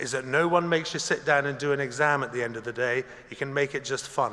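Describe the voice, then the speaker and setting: Over noticeable background noise, a man talks at a very fast pace and fairly high pitch, with ordinary pitch variation. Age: 60s. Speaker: graduation ceremony speaker. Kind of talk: commencement speech. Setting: concert hall with audience. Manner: formal.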